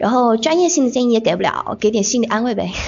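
Lively intonation marks this woman's very fast speech. Noticeable background noise runs behind her. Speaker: podcast host (guest). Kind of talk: interview chat. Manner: talkative.

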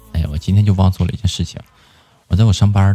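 In a very deep, low voice, a man speaks with an animated tone and a slight northeastern Chinese accent. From Inner Mongolia. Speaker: live stream host. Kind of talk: casual chat.

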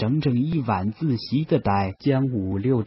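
Lively intonation throughout plain reading aloud.

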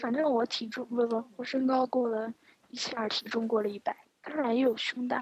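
Her high-pitched voice moves at a fairly quick pace, as the woman speaks with monotone, flat intonation. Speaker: podcast co-host. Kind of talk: casual chat. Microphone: laggy connection.

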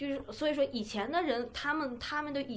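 A woman with a high voice speaks at a moderate pace with ordinary pitch variation. Audible room echo surrounds her. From China. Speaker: podcast co-host. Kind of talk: casual chat.

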